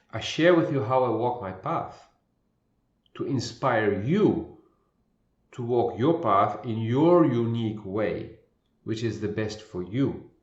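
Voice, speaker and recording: A man speaks very slowly in a calm, somewhat breathy voice, with long, frequent pauses. Audible room echo surrounds him. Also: medium pitch for a man, ordinary pitch variation. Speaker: spiritual intuitive coach. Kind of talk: spiritual monologue. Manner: slow with long pauses.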